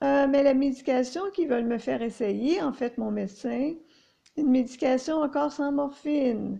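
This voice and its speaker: Against a quiet background, a woman speaks in a high pitch with a dark, mellow tone and ordinary pitch variation. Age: 50s. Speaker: chronic pain sufferer sharing experience. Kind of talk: personal monologue. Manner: halting, many hesitations.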